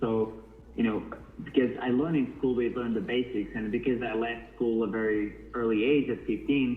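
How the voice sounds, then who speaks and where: Over noticeable background noise, a man with a Portuguese accent talks at a fairly quick pace, his medium-pitched voice fairly even in intonation. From northern Portugal. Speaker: model. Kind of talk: interview. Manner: halting.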